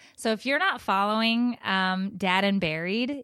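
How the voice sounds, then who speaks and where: In a very clean recording with a silent background and a dry, close sound free of echo, a woman talks in an ordinary speaking voice at medium pitch, with ordinary pitch variation and a fairly slow pace. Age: 30s. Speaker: podcast co-host, mother. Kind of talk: casual chat.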